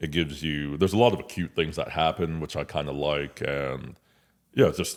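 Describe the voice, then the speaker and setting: A man with an American accent speaks in a very deep, low voice with vocal fry and ordinary pitch variation. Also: fairly quick pace. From Nigeria, then California and Indiana, US. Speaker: OB-GYN physician. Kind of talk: casual interview.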